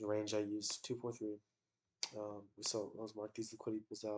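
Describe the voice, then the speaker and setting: The voice is quiet. It moves at a fairly quick pace. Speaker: day trader. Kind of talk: casual trading review. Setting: in bed, recording on laptop. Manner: quiet, keeping voice down.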